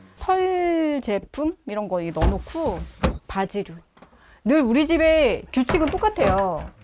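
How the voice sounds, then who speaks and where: Speaking at a very slow pace, a woman with a high voice makes very wide pitch swings over noticeable background noise. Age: 50s. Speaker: housewife. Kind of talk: casual talk in home interview. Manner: lively, chatty, cheerful. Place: home room.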